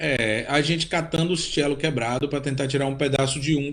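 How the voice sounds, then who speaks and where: A man's fairly high pitch at a fairly quick pace, with ordinary pitch variation and noticeable background noise. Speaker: cellist and composer. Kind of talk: interview. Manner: halting, repeats words.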